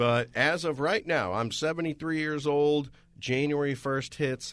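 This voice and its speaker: A man with a plain, everyday voice, pitched fairly high. He talks at a fairly slow pace with ordinary pitch variation. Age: 40s. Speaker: radio host. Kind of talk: radio talk show discussion.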